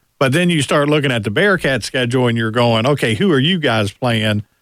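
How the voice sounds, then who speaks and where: An unremarkable speaking voice comes from a man talking fairly quickly at medium pitch, with an American accent and ordinary pitch variation. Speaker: radio co-host. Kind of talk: sports talk radio. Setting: studio.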